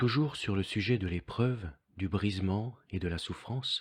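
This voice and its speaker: A somewhat breathy voice moves at a fairly slow pace with ordinary pitch variation. The recording is very clean with a silent background, dry and close with no echo. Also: man. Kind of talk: devotional text reading.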